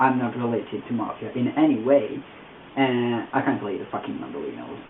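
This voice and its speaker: A man with an Italian accent at medium pitch, moderate pace, amid noticeable background noise. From Italy. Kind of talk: casual talk to camera.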